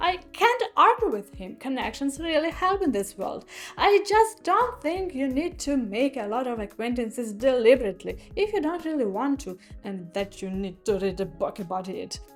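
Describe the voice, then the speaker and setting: A woman with a Ukrainian accent, high-pitched, with very wide pitch swings. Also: moderate pace, big swings in loudness. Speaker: book reviewer. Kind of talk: opinion monologue, book review.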